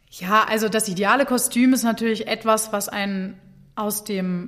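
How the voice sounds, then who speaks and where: A woman's fairly high, fairly even voice at a very slow pace, on a very clean recording with a silent background. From Germany, Hannover. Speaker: opera singer. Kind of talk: interview.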